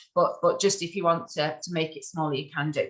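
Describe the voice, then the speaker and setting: A woman is speaking. Her fairly low voice is somewhat breathy. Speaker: social media marketing trainer. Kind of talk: online workshop presentation. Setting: video call.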